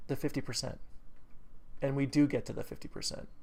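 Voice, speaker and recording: A man speaks with an American accent. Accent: New England accent, comes out when excited. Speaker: trading educator. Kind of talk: tutorial. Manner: casual, many fillers.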